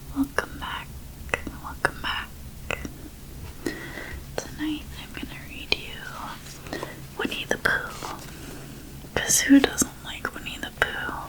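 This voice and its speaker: Someone is whispering at a very slow pace with long, frequent pauses. Noticeable background noise is present. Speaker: ASMR creator. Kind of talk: casual talk to camera. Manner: soft-spoken.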